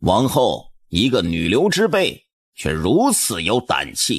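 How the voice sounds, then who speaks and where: A man puts on a character voice at a medium pitch. He talks at a fairly slow pace. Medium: read story. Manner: arrogant, sneering.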